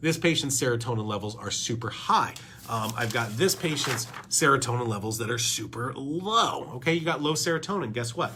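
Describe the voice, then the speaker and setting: A man of medium pitch talks at a fairly quick pace with ordinary pitch variation, over noticeable background noise and audible room echo. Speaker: doctor, podcast host. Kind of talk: educational talk presenting lab results. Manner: fast; animated.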